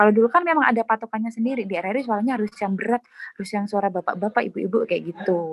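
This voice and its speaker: At a very fast pace, a woman speaks with ordinary pitch variation in a dry, close sound with no echo. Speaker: radio announcer. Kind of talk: interview. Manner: casual, filler-heavy.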